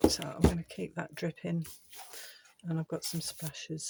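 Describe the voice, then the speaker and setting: A soft-spoken woman whispers at a moderate pace, the sound dry and close with no echo. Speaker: art channel creator. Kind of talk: casual art tutorial vlog. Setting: home art shed. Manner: soft-spoken, near whisper; halting, thinking aloud.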